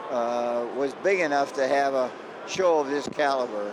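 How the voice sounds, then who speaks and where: Over noticeable background noise, a man with a fairly high pitch talks at a fairly slow pace. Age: 90s. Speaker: car show promoter. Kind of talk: interview.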